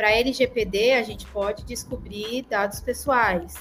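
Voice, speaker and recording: With a fairly high pitch and vocal fry, a woman speaks at a fairly slow pace. Her intonation stays fairly even. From Brazil, Paraná. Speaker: data professional. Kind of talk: casual chat.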